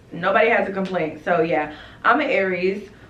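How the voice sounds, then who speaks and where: A woman at a medium pitch and a moderate pace, with audible room echo. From North Carolina, Rocky Mount. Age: 20s. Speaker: lash business owner and vlogger. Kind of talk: casual Q&A vlog chat. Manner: animated.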